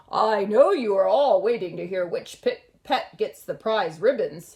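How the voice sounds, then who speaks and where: Putting on a character voice, a woman sounds raspy at a fairly high pitch and a moderate pace. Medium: read story. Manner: warm, speechmaking.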